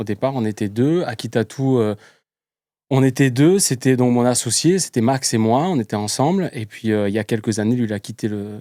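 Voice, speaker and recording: Here a man talks at a medium pitch, in a dark, mellow tone, with ordinary pitch variation. The pace is moderate and the sound is dry and close with no echo. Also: very clean recording, silent background. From southern France, Var (Toulon). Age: 30s. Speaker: tattoo artist. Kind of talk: casual interview. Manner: energetic.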